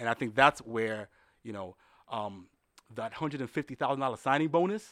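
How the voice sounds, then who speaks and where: With a New York accent and lively intonation, a man speaks in a dry, close recording with no echo, very clean against a silent background. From New York City, the Bronx. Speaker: baseball league executive. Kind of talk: interview conversation. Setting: studio in Manhattan.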